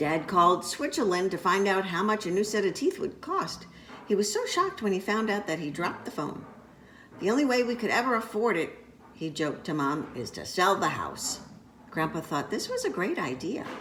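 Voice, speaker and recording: Over noticeable background noise, a woman speaks in a gentle tone with lively intonation. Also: medium pitch for a woman, fairly quick pace. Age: old. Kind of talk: children's picture book read-aloud. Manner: gentle, storytelling.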